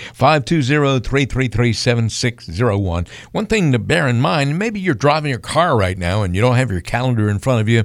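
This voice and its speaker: A man speaks in a plain, everyday voice at medium pitch, moving at a fairly quick pace with lively intonation and hardly any pauses. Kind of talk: radio announcer call-to-action: repeating the phone number, urging listeners to act now.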